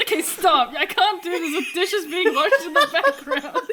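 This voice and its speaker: Raised and projected, a woman's extremely high voice swings very widely in pitch at a moderate pace over noticeable background noise. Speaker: gaming video creator, podcast guest. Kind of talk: casual chat. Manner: loud.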